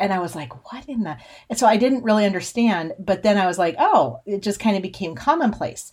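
In an American accent, a woman talks at a fairly quick pace with hardly any pauses and vocal fry. Her medium-pitched voice has very wide pitch swings and big swings in loudness. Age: 40s. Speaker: podcast host and cattle rancher. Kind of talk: casual monologue.

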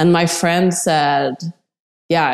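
With a Swedish accent, this woman's voice is fairly low-pitched and dark, mellow in tone. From Sweden. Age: 40s. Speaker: amateur surfer. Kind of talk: interview. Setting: remote call.

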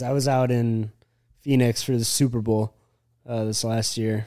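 With a dark, mellow tone, a man speaks at medium pitch. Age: 30s. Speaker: entrepreneur running a merch company. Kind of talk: casual chat.

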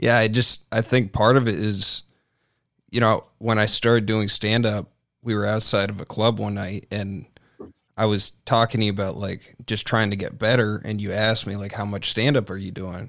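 The man's pitch is fairly low, and his intonation is monotone and flat. He talks at a moderate pace. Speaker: podcast host. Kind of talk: casual chat.

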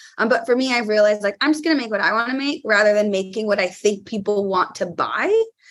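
Noticeable background noise sits behind a woman with a fairly high pitch. She talks at a very fast pace with hardly any pauses and ordinary pitch variation. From California. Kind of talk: casual chat.

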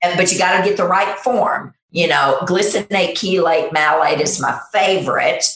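Speaking at a moderate pace, a woman uses a normal speaking voice at a medium pitch. Her loudness stays very even. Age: 50s. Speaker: nurse practitioner. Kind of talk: interview.

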